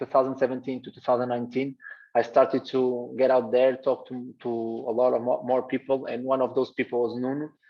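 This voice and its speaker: The speech comes fairly quickly, with hardly any pauses, in a Portuguese accent. Intonation stays monotone and flat while loudness swings widely. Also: man. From Portugal, Gaia. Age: 20s. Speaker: basketball coach. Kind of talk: presentation on video call. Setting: video call. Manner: halting, many repetitions.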